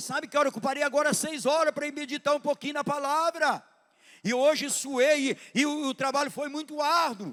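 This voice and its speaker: A man talks at a moderate pace in an animated tone, recorded with a dry, close sound and no echo. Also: very clean recording, silent background. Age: 60s. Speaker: pastor. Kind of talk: sermon. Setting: church.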